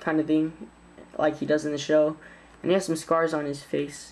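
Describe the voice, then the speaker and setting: The woman speaks at a fairly low pitch. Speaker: toy reviewer. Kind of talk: product review.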